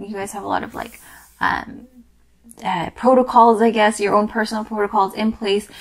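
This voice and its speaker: Noticeable background noise accompanies a woman whose medium pitch and moderate pace stay constant. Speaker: tarot reader. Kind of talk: tarot reading to camera. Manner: casual, hesitant with many fillers.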